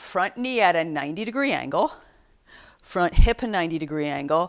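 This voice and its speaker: In a very clean recording with a silent background, a woman speaks at a fairly quick pace in an ordinary speaking voice, fairly low in pitch with lively intonation. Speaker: yoga teacher. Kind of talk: guided yoga class. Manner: instructive, calm.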